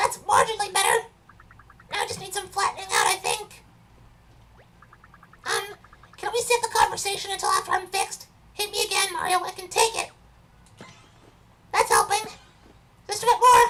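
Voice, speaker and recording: Using a put-on character voice at an extremely high pitch, the speaker goes at a fairly quick pace broken by long, frequent pauses. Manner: pleading and strained.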